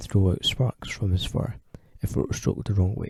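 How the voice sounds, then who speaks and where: In a Scottish accent, a man speaks at a moderate pace with a fairly low, somewhat breathy voice, a dark, mellow tone and ordinary pitch variation, in a dry, close sound with no echo. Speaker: storyteller. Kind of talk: children's story narration.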